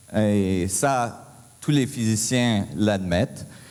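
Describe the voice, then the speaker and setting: A man is speaking. Audible room echo colors the recording. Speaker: physicist, conference speaker. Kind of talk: conference talk. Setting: stage with audience. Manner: halting, many hesitations.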